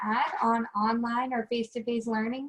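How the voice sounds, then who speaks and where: A woman with a fairly high pitch. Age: 20s. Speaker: college student, meeting leader. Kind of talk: online group discussion.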